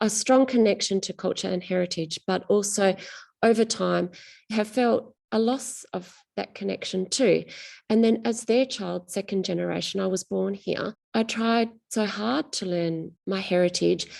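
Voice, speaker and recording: A woman with an Australian accent speaks at a fairly slow pace in a medium pitch with ordinary pitch variation, over a quiet background. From rural Western Australia. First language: Greek. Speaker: novelist. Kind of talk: interview.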